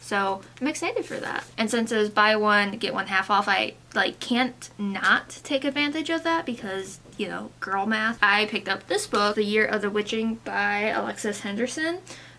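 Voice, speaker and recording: A woman talks with hardly any pauses in a fairly high pitch. There is noticeable background noise behind her. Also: ordinary pitch variation, moderate pace. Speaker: beauty and book content creator. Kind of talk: casual haul video chat. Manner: casual, chatty with fillers.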